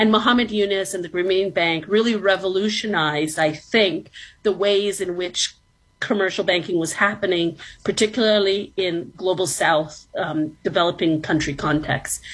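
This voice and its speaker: With a Canadian accent, a woman speaks at a moderate pace and medium pitch in a plain, everyday voice, her pitch varying in an ordinary way. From Toronto, Canada. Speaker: professor. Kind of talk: interview.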